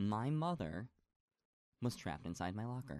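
A man is speaking. He has an American accent. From upstate New York, north of Syracuse. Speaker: actor and musical theater performer. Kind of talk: casual chat.

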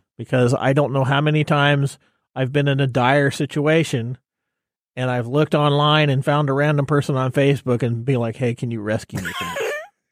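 A man's plain, everyday voice at a fairly quick pace, in a dry, close sound with no echo. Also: fairly high pitch for a man, fairly even intonation. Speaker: radio co-host. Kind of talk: casual radio show banter.

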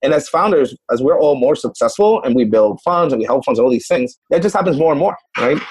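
A man with a fairly high pitch rushes along at a very fast pace with hardly any pauses and lively intonation. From Puerto Rico. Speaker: venture capital investor. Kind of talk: interview.

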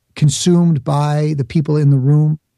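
Speaking with an American accent at a fairly slow pace, the voice has a dark, mellow tone and fairly even intonation, in a dry, close sound with no echo. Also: man. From New York, the Bronx. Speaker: speaker and author, former actor. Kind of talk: interview.

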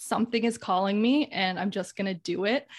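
A woman speaks in an ordinary speaking voice at a medium pitch and a moderate pace. Her intonation is fairly even, and the background is quiet. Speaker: podcast host. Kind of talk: casual interview; solo episode recap.

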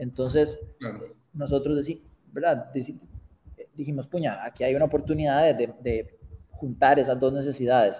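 Somewhat breathy, a man speaks at a fairly high pitch with a dark, mellow tone and fairly even intonation, leaving long, frequent pauses. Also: moderate pace. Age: 50s. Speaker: startup founder and CEO. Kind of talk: interview. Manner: halting, many repetitions.

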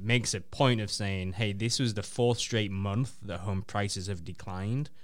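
A man's normal speaking voice, fairly low in pitch, with ordinary pitch variation and a fairly slow pace. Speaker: radio co-host. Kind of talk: live radio talk show.

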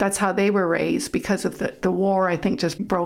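This is a woman talking. Her pitch sits in the middle range. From US Colorado. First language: German. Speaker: pastor's wife, ministry leader. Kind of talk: testimony.

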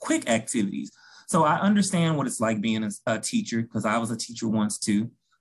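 A man with a Memphis accent talks at a fairly quick pace with lively intonation. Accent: Southern US (Memphis). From US South, Memphis, Tennessee. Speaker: school counselor. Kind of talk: interview podcast.

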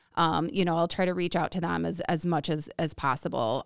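A woman with an American accent, fairly low pitch, vocal fry and a fairly quick pace, in a dry, close sound with no echo. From Woodstock area, US. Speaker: small business owner. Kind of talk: casual chat.

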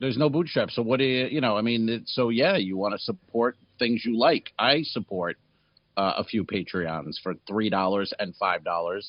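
This man has an ordinary speaking voice, medium in pitch, with lively intonation and a moderate pace. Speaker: comedy podcast co-host. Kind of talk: casual chat.

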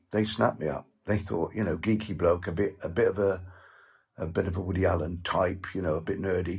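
Recorded very cleanly against a silent background, a man with a very deep, low voice speaks somewhat breathily at a fairly quick pace with ordinary pitch variation. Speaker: actor. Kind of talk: interview. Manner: halting.

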